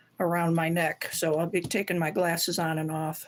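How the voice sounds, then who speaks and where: On a very clean recording with a silent background, a woman speaks at a moderate pace in an ordinary speaking voice with a fairly low pitch. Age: 60s. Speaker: stained glass artist. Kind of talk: live stream tutorial chat. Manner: casual, conversational.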